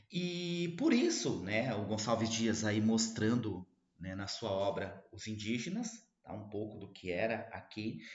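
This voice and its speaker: A somewhat breathy man speaks at medium pitch and a fairly slow pace, with lively intonation, big swings in loudness and audible room echo. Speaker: literature teacher. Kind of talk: lecture.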